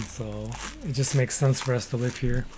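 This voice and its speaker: A somewhat breathy man with a Canadian accent. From Canada. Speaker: gaming streamer. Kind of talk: casual live-stream chat. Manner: mumbling at times.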